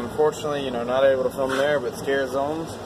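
Noticeable background noise behind a man's voice. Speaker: vlogger. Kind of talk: casual vlog chat. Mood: mildly exasperated storytelling.

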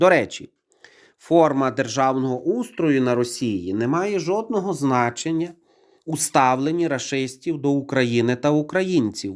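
A man with an ordinary speaking voice talks at a fairly slow pace and a fairly high pitch, his intonation lively. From Ukraine. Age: 40s. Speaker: YouTuber. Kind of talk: opinion monologue to camera.

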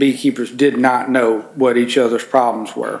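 Delivered at a fairly slow pace, the voice has a Mississippi accent and monotone, flat intonation. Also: man. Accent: Southern US (Mississippi). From Mississippi, US South. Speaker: farm organization environmental coordinator; conference presenter. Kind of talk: conference presentation. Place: meeting room. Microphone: camera far.

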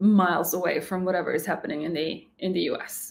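With a Slovak accent, a woman talks at a fairly slow pace with ordinary pitch variation over light background noise. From Slovakia. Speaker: YouTube reaction channel host. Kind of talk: casual reaction commentary. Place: home room.

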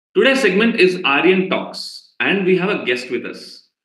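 A man speaks in a high pitch. The background is quiet, but room echo is audible. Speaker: actor and screenwriter. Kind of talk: talk show host introduction. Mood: cheerful, smiling. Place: home room.

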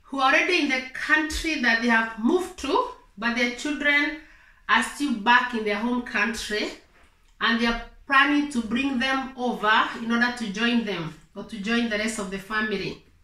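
Audible room echo carries a woman's bright, sharp tone at a high pitch, with ordinary pitch variation and a moderate pace. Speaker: advice vlogger. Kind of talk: explanatory vlog talk. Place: home room.

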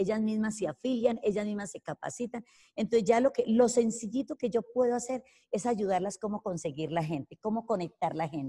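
A woman at a fairly high pitch, somewhat breathy with a dark, mellow tone, lively intonation and a fairly quick pace over a quiet background. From Colombia, rural Caldas. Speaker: network marketing entrepreneur; interviewee. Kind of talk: interview testimony. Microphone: video call.

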